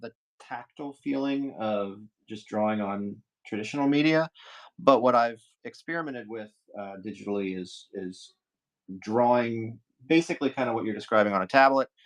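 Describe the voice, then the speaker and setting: Mumbling at a moderate pace, a man speaks at a medium pitch with ordinary pitch variation, big swings in loudness, and long, frequent pauses. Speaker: artist streaming live drawing. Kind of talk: casual live-stream chat while drawing. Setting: live stream. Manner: mumbling, halting.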